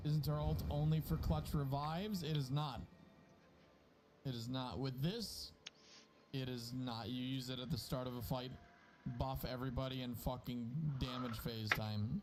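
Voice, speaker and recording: With music in the background and audible room echo, a man speaks at a moderate pace in a medium-pitched voice with lively intonation and long, frequent pauses. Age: 20s. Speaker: gaming streamer. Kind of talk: casual gaming livestream chat.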